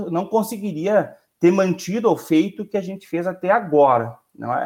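The voice belongs to a man and sits high in pitch. Lively intonation runs through his speech. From Rio Grande do Sul, Brazil. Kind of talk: casual panel discussion.

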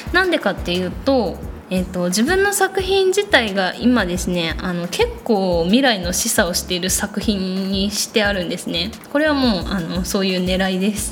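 A woman mumbles in a gentle tone at a moderate pace. Noticeable background noise and audible room echo fill the recording. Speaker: illustrator podcast host. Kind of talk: solo podcast monologue. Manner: gentle, slightly mumbling.

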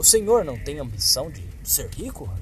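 A fairly slow pace amid noticeable background noise. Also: man. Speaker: audiobook narrator. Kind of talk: dramatic narration of a horror short story, read aloud.

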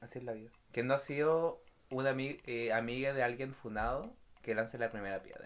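A man with a Chilean accent talks at a fairly quick pace in a medium pitch. His intonation stays fairly even while his loudness swings widely. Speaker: podcast co-host. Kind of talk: casual chat.

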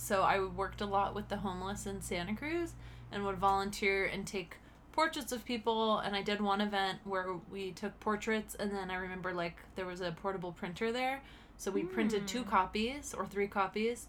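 At a moderate pace, a woman with an unremarkable speaking voice and medium pitch speaks with ordinary pitch variation. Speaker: podcast co-host.

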